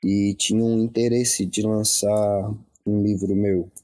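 The tone is dark and mellow, with a dry, close sound and no echo. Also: man. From Santa Catarina, Brazil (Laguna). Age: young. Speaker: poet and cultural producer. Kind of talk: online live conversation. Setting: Facebook live video.

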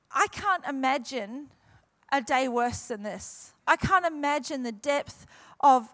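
Heard on a very clean recording with a silent background, this voice has ordinary pitch variation and a New Zealand accent. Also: woman. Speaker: guest pastor. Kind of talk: sermon. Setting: church with congregation.

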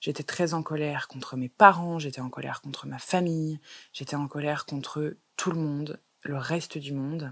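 A woman with a very deep, low pitch talks at a moderate pace, her loudness swinging widely. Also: fairly even intonation. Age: 20s. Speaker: holistic wellness coach and podcast host. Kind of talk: solo podcast monologue.

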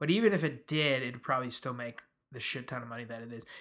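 A man with an American accent, bright and sharp in tone, at a fairly quick pace with lively intonation, on a very clean recording with a silent background. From US Midwest. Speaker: podcast host. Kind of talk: casual chat.

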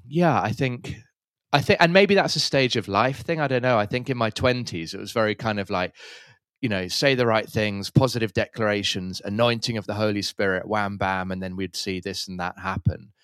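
In a very clean recording with a silent background, a man with an English accent talks at a moderate pace in a fairly low pitch, with ordinary pitch variation and a dry, close sound free of echo. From London, England.

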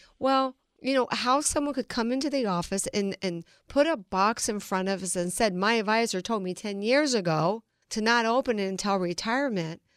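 In an ordinary speaking voice, a woman talks at a moderate pace and fairly high pitch with lively intonation, in a dry, close sound with no echo on a very clean recording with a silent background. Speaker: financial advisor. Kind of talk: radio interview.

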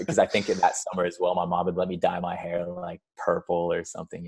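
Talking at a very fast pace, a man with an American accent shows big swings in loudness. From California, US, with Scottish schooling in Airdrie. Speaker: podcast guest. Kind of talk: casual chat. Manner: animated.

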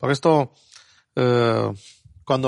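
A man's medium-pitched voice with fairly even intonation, the sound dry and close with no echo. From abroad, non-Spanish-speaking country. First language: not Spanish (speaking Spanish). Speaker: Bible teacher. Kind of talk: Bible study discussion. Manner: halting.

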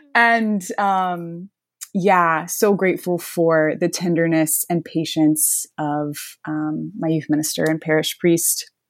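A woman with an American accent talks at a very slow pace with ordinary pitch variation. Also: fairly low pitch for a woman, very clean recording, silent background. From US South, northwest Florida. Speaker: medical student. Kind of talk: interview.

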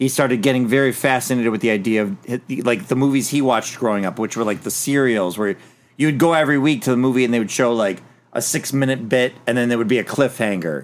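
The words come at a very fast pace with ordinary pitch variation. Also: man, medium pitch for a man. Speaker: podcast host. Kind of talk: casual chat.

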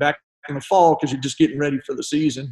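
Speaking with a Texan accent, a man uses a dark, mellow tone and fairly even intonation. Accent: Texan American. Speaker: retired high school basketball coach. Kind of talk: casual interview chat.

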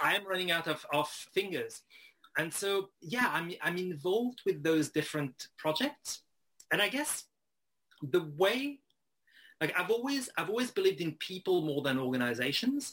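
In a French accent, the voice moves at a moderate pace with very wide pitch swings. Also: man, high pitch for a man. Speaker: writer and editor, freelancer. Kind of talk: interview conversation.

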